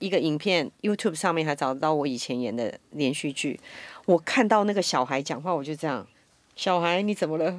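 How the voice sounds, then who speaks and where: In a Taiwanese accent, a speaker talks at a moderate pace with lively intonation. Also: woman, very clean recording, silent background. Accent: Taiwanese Mandarin. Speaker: voice actor. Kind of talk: casual chat.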